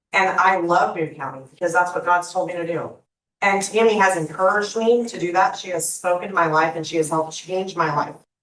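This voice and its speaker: Audible room echo surrounds a woman speaking fairly quickly at medium pitch, with an American accent and fairly even intonation. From Indiana. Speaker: public commenter, nonprofit founder. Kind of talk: public comment at council meeting. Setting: council meeting room. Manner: emotional, impassioned.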